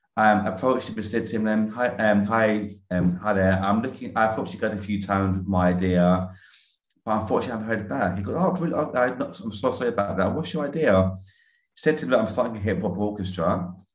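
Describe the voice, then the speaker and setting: Very fast speech comes from a man with fairly low pitch. His pitch variation is ordinary. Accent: London. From North London, Greek Cypriot family. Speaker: musician and educator. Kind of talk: casual interview. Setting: remote call.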